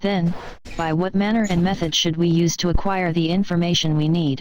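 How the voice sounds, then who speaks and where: At a middle pitch and a fairly quick pace, the speaker uses a put-on character voice against clear background noise. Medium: read story. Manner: deferential, formal.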